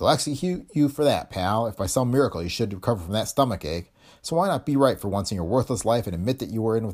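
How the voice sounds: Someone reads in a natural voice. The intonation rises and falls in a lively way.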